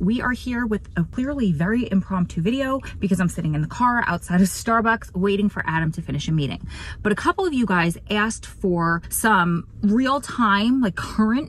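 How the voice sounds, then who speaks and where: A woman speaks at a moderate pace with hardly any pauses, in a dry sound with no echo. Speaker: true crime vlogger. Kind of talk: casual vlog chat. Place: car. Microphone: phone near.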